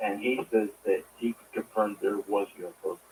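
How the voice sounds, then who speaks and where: The voice of a man comes across quietly. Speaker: caller, navy veteran. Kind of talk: call-in radio question. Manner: quiet, hard to hear.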